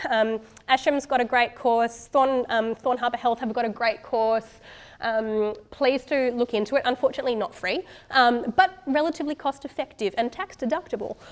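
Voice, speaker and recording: In an Australian accent, a woman speaks with a high pitch. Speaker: doctor. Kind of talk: conference talk. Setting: stage with audience. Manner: fast.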